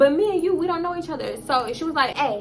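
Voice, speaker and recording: A woman's high-pitched voice at a fairly quick pace, with noticeable background noise and audible room echo. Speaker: storytime youtuber. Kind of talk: storytime monologue. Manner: fast; animated.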